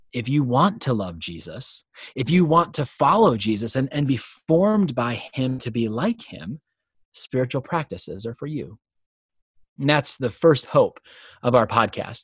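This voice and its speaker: A man with a normal speaking voice talks at a fairly slow pace with lively intonation. The sound is dry and close, with no echo. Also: quiet background. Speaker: podcast host. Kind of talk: podcast introduction, conversational.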